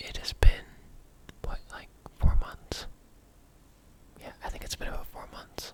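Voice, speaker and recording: The voice is whispering at a fairly slow pace. Long pauses come often. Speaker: ASMR creator. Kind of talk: ASMR ramble. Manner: whispered; casual, rambling.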